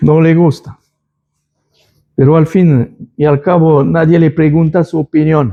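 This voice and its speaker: With long, frequent pauses, a man speaks at a fairly slow pace and fairly high pitch, his intonation fairly even. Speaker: lay preacher. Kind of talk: church announcement and Bible study. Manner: halting, with self-corrections.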